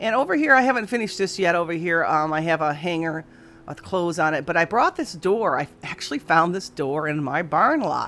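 A woman's fairly low voice at a fairly quick pace, with faint music in the background. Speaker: antique booth vendor. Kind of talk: casual vlog chat. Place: shop. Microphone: phone near.

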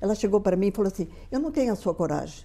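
Dark, mellow tone from a woman, with ordinary pitch variation. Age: 80s+. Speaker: motivational speaker. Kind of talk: interview. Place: studio. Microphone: lapel.

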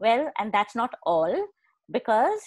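A woman talks at a moderate pace. The sound is dry with no echo, and the background is quiet. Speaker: host introducing speaker. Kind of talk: speaker introduction. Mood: warm, friendly. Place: home room. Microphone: earbuds.

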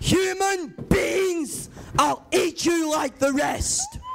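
Over clear background noise, a man bellows and shouts at a very slow pace in a put-on character voice pitched extremely high. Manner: roaring, menacing.

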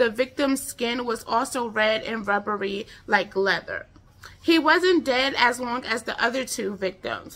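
Speaking at a fairly slow pace, a woman with an American accent has a high pitch and ordinary pitch variation. Her tone is animated. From United States. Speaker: true crime YouTuber. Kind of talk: true-crime narration, casual storytelling. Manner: conversational, informal, chatty; animated, with filler words. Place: home room. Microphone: phone near.

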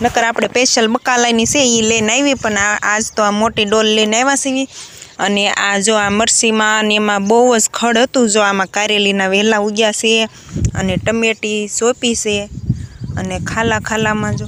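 Noticeable background noise surrounds a woman's voice. Her fairly high pitch stays in a monotone, flat intonation. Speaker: village vlogger. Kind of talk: vlog narration. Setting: outdoors on farm.

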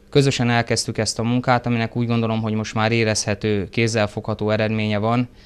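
Intonation is monotone and flat as this man speaks. He goes at a very fast pace. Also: hardly any pauses. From Hungary, Karcag (Great Plain); Hungary. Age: 30s. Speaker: police chief; interviewee. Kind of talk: TV interview. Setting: studio. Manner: formal, with hesitations. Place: studio. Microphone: lapel.

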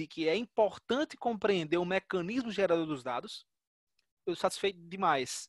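This man's voice is high-pitched, with ordinary pitch variation at a moderate pace. The sound is dry with no echo and the background is quiet. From Natal, Rio Grande do Norte, Brazil; Rio Grande do Norte, Brazil. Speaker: data science researcher; guest. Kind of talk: lecture. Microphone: video call.

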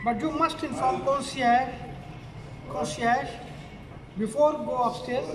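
Extremely high pitch for a man, a very slow pace with long, frequent pauses, and noticeable background noise. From Pakistan. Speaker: novelist reading own novel. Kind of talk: reading aloud. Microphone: camera far.

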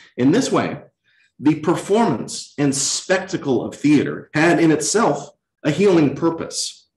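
Speaking at a fairly slow pace with an American accent, a man shows ordinary pitch variation. The room echo is audible, and the background is quiet. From Virginia (Lynchburg); Virginia. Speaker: chief resident physician, former actor; former actor. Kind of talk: lecture. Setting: hospital auditorium, in person and streamed. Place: hall.

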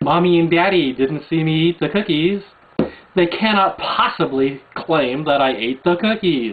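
A man talks at a fairly slow pace with ordinary pitch variation over light background noise. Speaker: video blogger. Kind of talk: rebuttal rant to camera. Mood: angry, mocking. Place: home room. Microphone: webcam.

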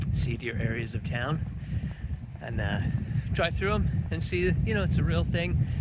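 Loud background noise fills a dry recording with no echo. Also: man. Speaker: travel vlogger. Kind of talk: casual vlog chat. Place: street. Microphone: phone near.

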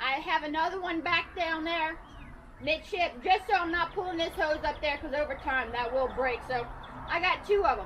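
A woman projects her raised voice above light background noise. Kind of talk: tour guide explanation.

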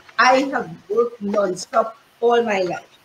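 A high-pitched woman's voice with audible room echo and light background noise. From Trinidad. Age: 70s. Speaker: fashion consultant and modeling teacher; modeling teacher. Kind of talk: casual interview. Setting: live-streamed video call. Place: home room. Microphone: video call.

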